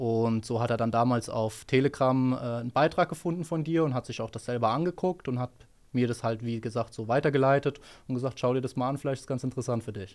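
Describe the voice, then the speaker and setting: A man talks at a very fast pace. The recording is very clean, with a silent background. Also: medium pitch for a man, ordinary pitch variation. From Hesse, Germany (Rödermark). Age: 20s. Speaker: trader, former car mechanic. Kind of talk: interview answers. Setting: office.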